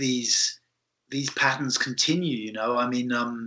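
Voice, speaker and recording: A man's medium-pitched voice with a British accent, bright and sharp in tone, fairly even in intonation and fairly slow. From UK. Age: 60s. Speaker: podcast host, body therapist. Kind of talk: interview conversation. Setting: remote call. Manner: halting, with many repetitions.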